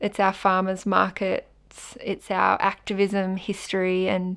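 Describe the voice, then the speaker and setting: A woman's medium-pitched voice is captured on a very clean recording with a silent background. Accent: Australian. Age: 20s. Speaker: climate activist and volunteer organiser. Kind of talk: guided audio walk narration.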